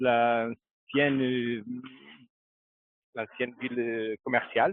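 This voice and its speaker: In a Portuguese accent, a man speaks at a very slow pace with monotone, flat intonation. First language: Portuguese (speaking French). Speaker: local tour guide. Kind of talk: live video tour on location. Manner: halting.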